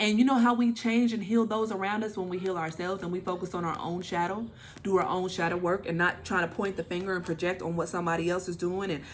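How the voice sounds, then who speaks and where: At a very fast pace, a woman talks in an animated tone at a medium pitch. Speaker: tarot reader. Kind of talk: channeled tarot reading.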